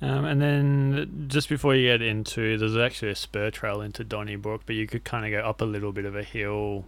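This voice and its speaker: Here a man speaks fairly quickly with hardly any pauses, in an unremarkable speaking voice. His pitch is fairly low, with ordinary variation. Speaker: podcast host. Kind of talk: casual chat.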